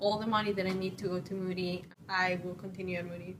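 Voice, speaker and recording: A woman of medium pitch speaks with a Spanish accent. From Venezuela. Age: 20s. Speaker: student. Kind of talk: personal testimony.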